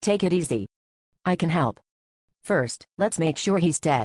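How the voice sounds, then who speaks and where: Growling in a put-on character voice, the speaker holds a middle pitch at a moderate pace. The background is quiet. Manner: calm, soothing.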